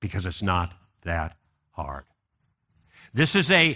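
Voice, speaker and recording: Against a quiet background, a bright, sharp voice with an American accent and vocal fry speaks at a moderate pace with lively intonation. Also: man. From US Midwest, Chicago. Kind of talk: conference talk.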